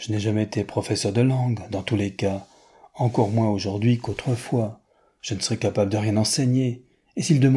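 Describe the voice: A plain read-aloud of written text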